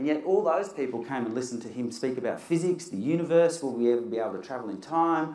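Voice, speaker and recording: At a very fast pace and with lively intonation, a man speaks in a fairly high pitch amid audible room echo. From Australia. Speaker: science communicator and event MC; event MC. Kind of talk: live presentation with demonstrations. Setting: stage with audience. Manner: animated. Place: hall.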